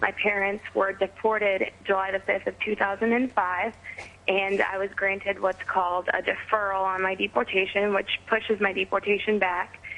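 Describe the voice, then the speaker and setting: A woman with a medium pitch speaks in an American accent with monotone, flat intonation. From Missouri, US Midwest. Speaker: college student. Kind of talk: phone interview. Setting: phone call.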